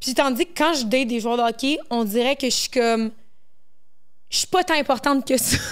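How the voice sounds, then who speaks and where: A woman with a Quebec accent speaks at a moderate pace and a high pitch, with ordinary pitch variation. Long, frequent pauses break up her speech over a quiet background. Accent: Québécois French. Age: 20s. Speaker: content creator; podcast guest. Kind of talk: casual chat. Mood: candid, relaxed. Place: studio. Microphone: handheld.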